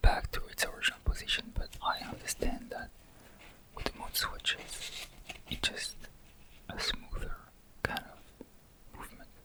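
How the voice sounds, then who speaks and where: A man whispers at a fairly slow pace with long, frequent pauses and big swings in loudness over noticeable background noise. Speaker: ASMR creator. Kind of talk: whispered ASMR unboxing. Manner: soft-spoken, whispering.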